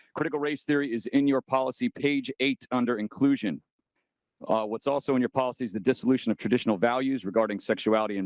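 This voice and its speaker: Dry and close with no echo, a man of medium pitch talks at a very fast pace with ordinary pitch variation over a quiet background. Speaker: political candidate speaking at public comment. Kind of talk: public comment speech at school board meeting. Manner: impassioned.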